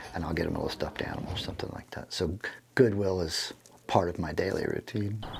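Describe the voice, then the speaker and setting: A man whispering at a very fast pace. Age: 60s. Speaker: drum teacher. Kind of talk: documentary interview.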